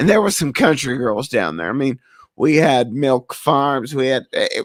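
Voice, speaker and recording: A man with a slight Southern US accent speaks at a fairly high pitch in an animated tone, the sound dry and close with no echo in a very clean recording over a silent background. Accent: slight Southern drawl. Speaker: podcast host. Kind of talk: casual chat.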